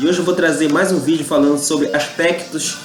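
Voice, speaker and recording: Rather quick speech with noticeable noise in the background. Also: man. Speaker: YouTube channel host on Amazonian culture. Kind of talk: casual talk to camera.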